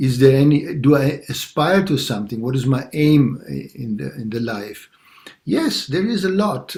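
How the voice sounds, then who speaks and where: Somewhat breathy speech at a fairly slow pace. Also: man. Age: 60s. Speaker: longtime meditation practitioner. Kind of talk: personal sharing in group talk. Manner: halting, many fillers.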